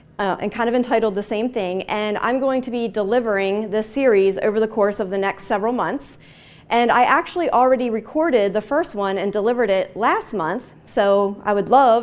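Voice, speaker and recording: A woman with an American accent speaks at a fairly quick pace and fairly high pitch, with ordinary pitch variation. The recording is very clean, with a silent background. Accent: Baltimore accent, occasional. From Baltimore, Maryland. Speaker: agile consultant and trainer. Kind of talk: conference talk. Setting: stage with audience. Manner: casual.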